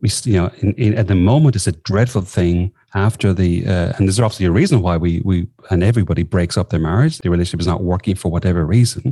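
In an Irish accent, a man talks at a very fast pace with a very deep, low pitch, a dark, mellow tone, a somewhat breathy quality, ordinary pitch variation and very even loudness, on a very clean recording with a silent background. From southern Ireland. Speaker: executive coach. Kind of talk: interview.

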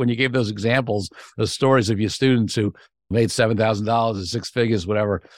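With a New York accent, a man speaks at a very fast pace. The recording is very clean, with a silent background. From Brooklyn, New York. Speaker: podcast host, attorney and negotiator. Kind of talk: interview conversation.

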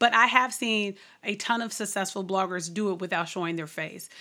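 On a very clean recording with a silent background, a woman talks at a fairly quick pace with a medium pitch, a bright, sharp tone and ordinary pitch variation. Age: 30s. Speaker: blog business coach. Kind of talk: interview.

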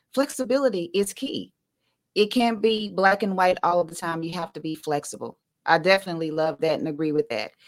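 The delivery is quick-ish, with lively intonation. It is an ordinary speaking voice. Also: woman, fairly low pitch for a woman. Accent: American. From Southeast Texas. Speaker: podcast host. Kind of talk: casual interview chat.

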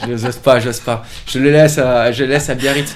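Man's voice at medium pitch and moderate pace, with fairly even intonation. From French Pyrenees. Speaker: yoga teacher and studio co-owner. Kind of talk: casual interview.

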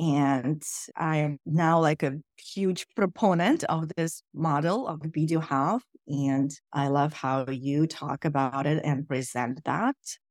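A woman speaks very slowly in a very deep, low pitch, with a dry, close sound free of echo on a very clean recording with a silent background. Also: ordinary pitch variation. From Russia. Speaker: coach. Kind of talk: coaching conversation.

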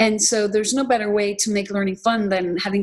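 A somewhat breathy woman speaks at medium pitch with fairly even intonation. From Ireland. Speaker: documentary filmmaker and nonprofit co-founder. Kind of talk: interview conversation.

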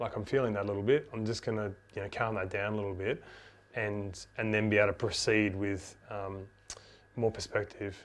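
A man speaks at a fairly quick pace. His fairly low voice stays monotone and flat. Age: 30s. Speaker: podcast host. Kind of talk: interview conversation.

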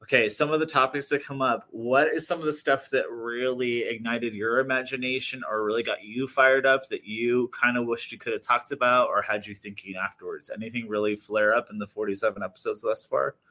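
At a very fast pace, a man talks with hardly any pauses, his pitch medium. Noticeable background noise can be heard. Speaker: podcast co-host, speaker and queer activist. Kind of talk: casual chat. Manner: animated, swears often.

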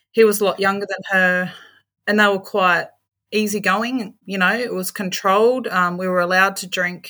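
A woman with an Australian accent speaks at a medium pitch in a flat, monotone intonation. Her tone is bright and sharp, on a very clean recording with a silent background. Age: 40s. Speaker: aged care worker. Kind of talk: interview, personal testimony.

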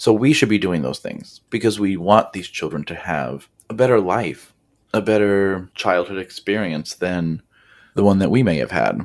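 The recording is very clean, with a silent background. A man with vocal fry and fairly low pitch talks at a moderate pace with lively intonation. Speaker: kindergarten teacher and podcast host. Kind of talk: solo podcast monologue. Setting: recording alone. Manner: casual, conversational.

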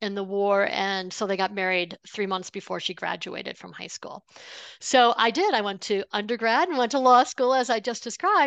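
A normal speaking voice: a woman with an American accent talks at a fairly quick pace with ordinary pitch variation against a quiet background. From upstate New York. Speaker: money coach, former lawyer. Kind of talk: interview.

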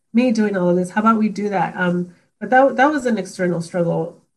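A woman with an American accent speaks at a fairly quick pace in a fairly high, somewhat breathy voice with lively intonation. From Los Angeles, California. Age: 30s. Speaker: corporate learning and development director. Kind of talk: casual interview.

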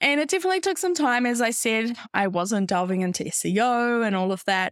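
The sound is dry and close, with no echo, and the speaker has a New Zealand accent. The pace is moderate and the intonation lively. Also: woman. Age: 20s. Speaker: podcast host and business coach. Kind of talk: casual solo monologue.

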